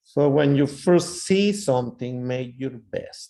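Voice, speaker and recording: A man with a non-native accent and a dark, mellow tone. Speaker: ultrasound lecturer. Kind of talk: lecture.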